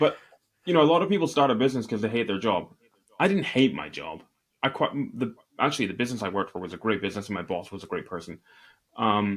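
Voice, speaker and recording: In a very clean recording with a silent background, a man with a Scottish accent talks at a very fast pace broken by long, frequent pauses, his medium pitch carried by lively intonation. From Northeast Scotland. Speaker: e-commerce entrepreneur. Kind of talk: interview.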